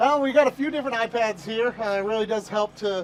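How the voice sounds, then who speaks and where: A man speaking at a fairly quick pace over noticeable background noise. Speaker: team director of community and entertainment and public address announcer. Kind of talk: interview answer. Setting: ballpark grandstands and press box.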